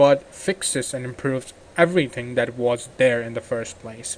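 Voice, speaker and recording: Noticeable background noise sits under this man's voice. He talks at a fairly slow pace with ordinary pitch variation. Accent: non-native. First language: not English. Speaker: gaming YouTuber. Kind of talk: game mod review. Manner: halting.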